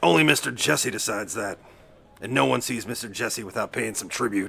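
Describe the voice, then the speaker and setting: A man puts on a raspy character voice at a fairly low pitch. He talks at a fairly quick pace with lively intonation. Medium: audio drama. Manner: sneering, condescending.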